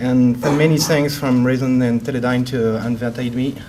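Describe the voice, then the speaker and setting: A man with a medium-pitched voice speaks at a moderate pace in a flat monotone, with audible room echo and noticeable background noise. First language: French. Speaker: hydrographer. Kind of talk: conference presentation.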